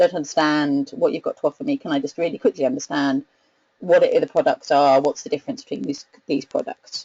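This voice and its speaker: A woman talks at a fairly quick pace. She has a British accent. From UK. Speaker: research analyst presenting a webinar. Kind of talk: webinar presentation. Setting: online webinar. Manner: hesitant, with many fillers and repetitions.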